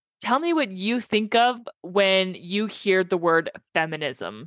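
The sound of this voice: A woman speaks slowly at medium pitch with a fairly bright tone and lively intonation. The sound is dry and close with no echo.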